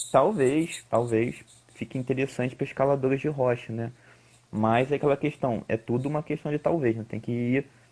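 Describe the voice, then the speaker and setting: Fairly even intonation marks a man's speech at a medium pitch. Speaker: climbing coach and researcher. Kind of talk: live-stream interview. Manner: fast.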